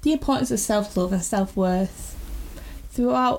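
Her voice sits at a medium pitch, and the woman speaks with a northern English accent. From northern England. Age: 20s. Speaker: podcast host, freelance designer. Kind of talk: podcast trailer monologue. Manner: unpolished, pauses and repeats.

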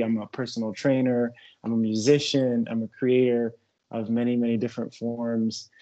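A man's medium-pitched, monotone voice with flat intonation at a moderate pace. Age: 30s. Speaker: holistic wellness therapist and personal trainer. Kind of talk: casual chat.

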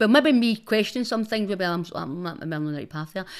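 Her voice at a medium pitch with a Scottish accent, a woman talks at a very fast pace in a very clean recording with a silent background. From Glasgow East End, Scotland. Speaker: social media personality. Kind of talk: casual chat.

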